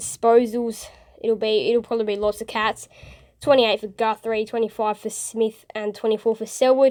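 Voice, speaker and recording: A woman speaks at a moderate pace. The recording is very clean, and the background is silent. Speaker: football match reviewer. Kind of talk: casual sports review talk to camera. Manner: subdued, not very excited.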